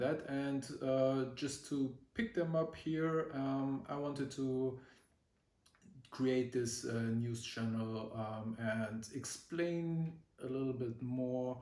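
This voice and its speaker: A man with a German accent speaks at a very slow pace and medium pitch, with ordinary pitch variation and audible room echo. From Germany. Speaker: vlogger. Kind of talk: casual vlog talk. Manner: halting, many fillers.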